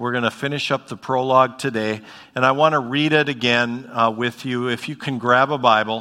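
Simply a natural reading voice

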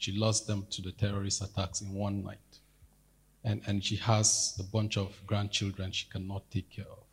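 A man with a fairly low pitch talks at a moderate pace in a somewhat breathy, monotone and flat delivery. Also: big swings in loudness. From Nigeria. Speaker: church member. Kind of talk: testimony. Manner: halting.

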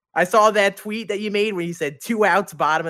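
A man's pitch varies in an ordinary way as he talks at a fairly quick pace. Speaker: podcast co-host. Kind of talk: casual chat.

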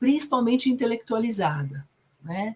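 A woman's voice carries some breathiness as she talks at an average speed. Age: 50s. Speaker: psychotherapist. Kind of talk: casual film discussion livestream.

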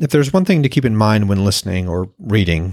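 In a very clean recording with a silent background, a man speaks at a low pitch.

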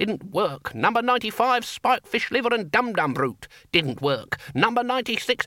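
A man's put-on character voice, high in pitch, bright and sharp, with big pitch swings at a moderate pace

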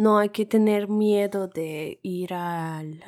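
A woman's medium-pitched voice, very slow and monotone with flat intonation, in a very clean recording with a silent background and a dry, close sound with no echo. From Russia. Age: 20s. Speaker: podcast co-host. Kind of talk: casual chat.

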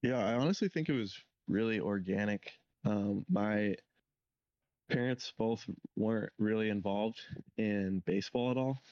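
A man with a West Coast American accent, fairly low in pitch, with ordinary pitch variation, a moderate pace, long and frequent pauses, very even loudness, and a dry, close sound with no echo. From California (Santa Cruz County). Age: 20s. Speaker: professional baseball pitcher. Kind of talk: casual interview.

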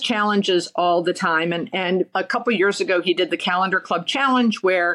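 A woman talks at a medium pitch. Her pitch varies in an ordinary way. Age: 60s. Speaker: commercial real estate investor and advisor. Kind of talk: interview. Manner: energetic.

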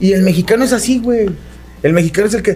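A man with a high-pitched voice talks at a fairly quick pace. There is noticeable background noise. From Monterrey, Mexico. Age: 40s. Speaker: radio sports commentator. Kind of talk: casual chat.

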